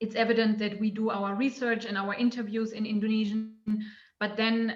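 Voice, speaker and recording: A woman with a non-native accent speaks at a moderate pace in a fairly high voice with monotone, flat intonation. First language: not English. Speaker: anthropologist. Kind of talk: academic panel discussion question. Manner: halting, many fillers.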